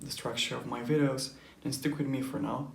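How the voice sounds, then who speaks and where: With audible room echo, a man talks while music sounds in the background. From Europe. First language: not English. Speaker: anime reaction youtuber. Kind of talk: casual vlog explanation. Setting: home recording, neighbors nearby. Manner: hesitant, many fillers.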